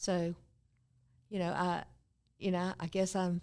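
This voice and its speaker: Delivered in a North Carolina accent, the speech moves at a fairly slow pace with monotone, flat intonation. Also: woman. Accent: Southern US (North Carolina). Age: 70s. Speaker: former mayor. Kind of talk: casual interview. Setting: studio.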